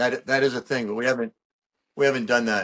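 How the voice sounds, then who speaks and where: The man's pitch sits in the medium range, and the background is quiet. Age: 60s. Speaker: rock guitarist and supplement business owner. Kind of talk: casual podcast interview. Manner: animated, profane and casual.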